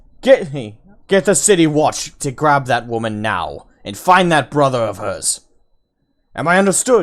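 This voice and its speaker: A man shouts in a put-on character voice, raised and projected, raspy and fairly high-pitched. His pitch swings very widely at a moderate pace. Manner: yelling angrily, commanding.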